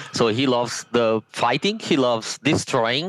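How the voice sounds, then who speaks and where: Recorded with a dry, close sound and no echo, a man with an Italian accent talks fairly slowly with lively intonation. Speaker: board game designer. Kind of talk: interview.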